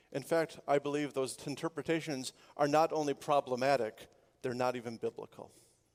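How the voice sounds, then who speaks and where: A man with a plain, everyday voice speaks with fairly even intonation at a moderate pace in a dry, close sound with no echo. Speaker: pastor. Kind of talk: sermon.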